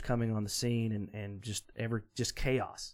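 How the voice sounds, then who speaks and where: This is a plain, everyday voice, a man's at medium pitch and moderate pace. The recording is very clean, with a silent background. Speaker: podcast co-host. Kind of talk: casual chat.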